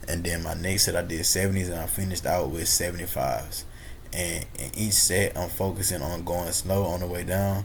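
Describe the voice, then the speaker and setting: Over noticeable background noise and audible room echo, a man with a very deep, low pitch talks at a fairly quick pace in a flat monotone. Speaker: fitness vlogger. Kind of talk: casual vlog voiceover with devotional talk. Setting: gym.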